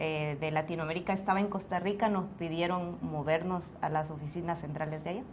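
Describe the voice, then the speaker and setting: A woman speaks with a fairly low pitch and fairly even intonation. Room echo is audible. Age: 40s. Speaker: returned missionary, stay-at-home mother. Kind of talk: testimony interview.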